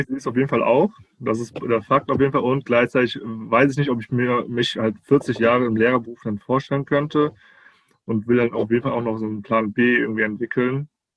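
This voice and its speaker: Fairly quick speech from a man in a plain, everyday voice, pitched medium, intonation fairly even. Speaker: teacher trainee, recent graduate. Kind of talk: casual interview conversation. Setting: video call. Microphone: muffled sound in places.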